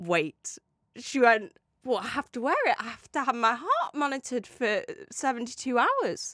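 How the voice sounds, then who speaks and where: A woman with a British accent, high pitch and lively intonation at a moderate pace, in a dry, close sound with no echo. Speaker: podcast co-host. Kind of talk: casual chat. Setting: studio.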